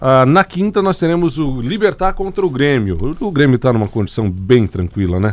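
A man's medium-pitched voice at a moderate pace, with very wide pitch swings and hardly any pauses. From Santa Catarina, Brazil (Alfredo Wagner). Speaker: sports radio host. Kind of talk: casual sports talk. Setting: radio studio, live.

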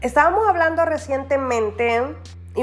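A woman speaks with ordinary pitch variation. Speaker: life coach and podcast host. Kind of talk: interview. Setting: live stream video call. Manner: warm, encouraging.

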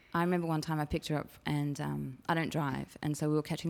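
A woman talks very fast in an Australian accent. Her pitch is very deep and low. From Sydney, Australia (Chatswood, North Shore). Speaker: op shop coordinator. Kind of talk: casual interview chat. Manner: halting, many fillers.

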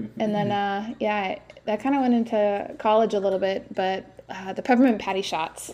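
This woman has a plain, everyday voice, speaking at a moderate pace with ordinary pitch variation. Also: medium pitch for a woman. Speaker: podcast co-host. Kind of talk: casual chat. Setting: in person with co-hosts.

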